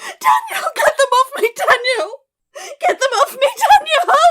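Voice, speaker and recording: A woman shouts in a shrill, put-on character voice with an extremely high pitch and a panicked tone. She speaks at a fairly slow pace. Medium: audio drama. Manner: shrill, panicked screaming.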